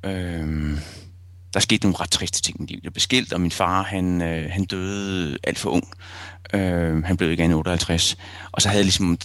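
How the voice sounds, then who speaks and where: This man talks at a moderate pace with a very deep, low pitch and fairly even intonation. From Copenhagen area, Denmark (Rødovre). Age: 40s. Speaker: photojournalist. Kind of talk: interview. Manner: hesitant, many fillers.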